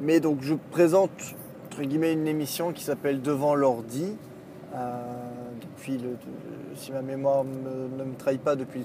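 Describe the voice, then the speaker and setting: Over noticeable background noise, a man with a fairly high pitch speaks with fairly even intonation but big swings in loudness. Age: 30s. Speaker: podcaster and video maker. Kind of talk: solo monologue while driving. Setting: in a car. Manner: halting, many fillers and repeats.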